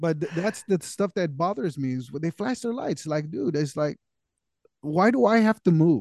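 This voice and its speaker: At a moderate pace, a man with an American accent uses lively intonation at a fairly high pitch. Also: dry, close sound with no echo. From California. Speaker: podcast co-host. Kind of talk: casual chat.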